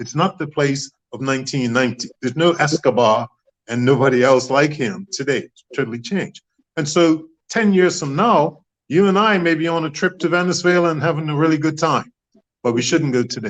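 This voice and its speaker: A fairly high-pitched man with a Bermudian accent, ordinary pitch variation and a fairly quick pace. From Bermuda. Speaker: author and former politician. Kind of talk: interview.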